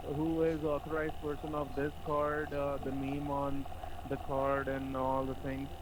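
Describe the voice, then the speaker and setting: Through noticeable background noise and audible room echo, a man with a fairly high pitch speaks at a fairly slow pace in a monotone, flat intonation. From India. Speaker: phone scammer posing as tech support. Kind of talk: sales call.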